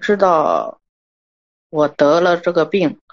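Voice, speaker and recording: Her pitch is medium and varies in an ordinary way as a woman talks. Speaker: caller. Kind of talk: personal testimony on call-in show. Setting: phone call.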